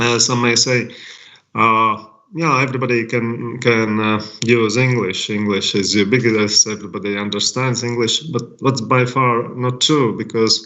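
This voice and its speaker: A man speaks with a Latvian accent at a moderate pace. His pitch is medium, with fairly even intonation. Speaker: language technology company representative. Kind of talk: panel presentation. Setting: online live event. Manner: halting, many fillers.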